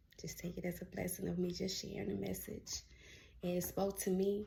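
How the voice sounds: A raspy, put-on character voice. It moves at a fairly quick pace. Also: woman, medium pitch for a woman.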